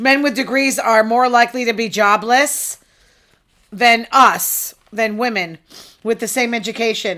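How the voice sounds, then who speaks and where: At a fairly slow pace, a woman talks in an animated tone that sounds bright and sharp. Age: 50s. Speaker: online talk show host. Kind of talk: casual news commentary monologue.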